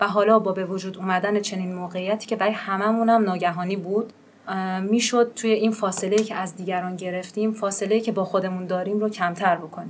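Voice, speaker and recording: A woman talks very fast in a monotone, with flat intonation. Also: medium pitch for a woman. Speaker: podcast host. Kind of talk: casual chat.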